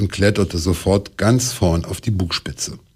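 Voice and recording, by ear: The pitch rises and falls in an ordinary way. The voice reads aloud naturally.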